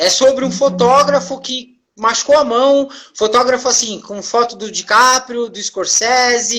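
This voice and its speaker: A woman speaks at a fairly slow pace in a high pitch, with fairly even intonation. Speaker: therapist hosting live stream. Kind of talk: casual live stream talk. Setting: live video stream.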